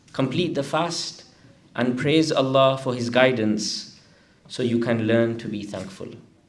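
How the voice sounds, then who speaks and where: A man's medium-pitched voice at a fairly slow pace, ordinary pitch variation, with noticeable background noise and audible room echo. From northern England, Blackburn. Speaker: religious scholar. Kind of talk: scripture translation reading.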